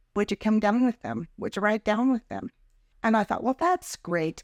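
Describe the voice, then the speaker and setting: A woman with an American accent speaks in an unremarkable speaking voice at a fairly high pitch, her intonation lively. The recording is very clean with a silent background, and the sound is dry and close with no echo. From Idaho, USA. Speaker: grandmother. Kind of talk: personal life-story interview answer.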